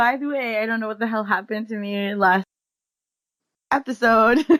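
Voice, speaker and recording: The tone is bright and sharp, with a dry, close sound and no echo. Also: woman, fairly high pitch for a woman, moderate pace. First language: not English. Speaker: podcast host. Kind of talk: casual chat. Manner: animated.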